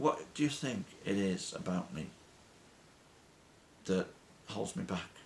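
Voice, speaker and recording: Speaking at a fairly slow pace with a British accent, this voice swings very widely in pitch and leaves long, frequent pauses. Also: man, medium pitch for a man. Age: 60s. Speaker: weight-loss vlogger. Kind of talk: motivational monologue.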